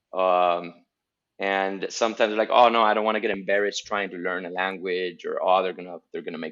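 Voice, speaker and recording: A man with a Spanish accent speaks at a fairly low pitch. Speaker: guest. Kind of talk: casual chat. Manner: hesitant, many fillers and repeats.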